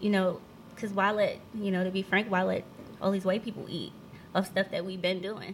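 A woman's somewhat breathy, medium-pitched voice in an American accent, monotone and flat, at a fairly quick pace. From northern New Jersey. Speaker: CBD oil seller. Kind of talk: casual chat.

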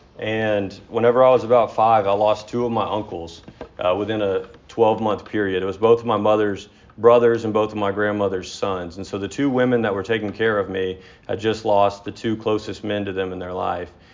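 A fairly low-pitched man with an American accent, fairly quick and monotone in flat intonation, amid noticeable background noise. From Texas, Dallas area. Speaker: AA speaker. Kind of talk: recovery testimony.

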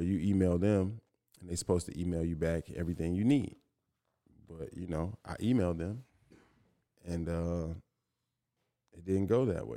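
A man with a very deep, low pitch and a dark, mellow tone speaks with ordinary pitch variation. His pace is moderate, broken by long, frequent pauses. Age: 30s. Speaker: rapper. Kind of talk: casual chat.

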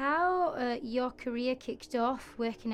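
With an Italian accent, a woman speaks at a moderate pace. Her pitch varies in an ordinary way. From Italy. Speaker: graphic designer and co-host. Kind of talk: casual interview. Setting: studio.

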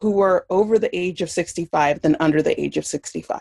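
Recorded dry and close with no echo, a woman uses an ordinary speaking voice at medium pitch, with ordinary pitch variation and a fairly slow pace. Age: 40s. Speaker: user experience designer and educator. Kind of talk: interview.

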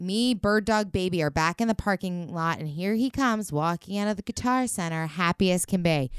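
A woman talks in a normal speaking voice at a medium pitch, fairly quickly and with hardly any pauses, using ordinary pitch variation. The recording is very clean with a silent background and a dry, close sound with no echo. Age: 30s. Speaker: podcast co-host, recovering alcoholic. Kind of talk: casual chat. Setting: home studio.

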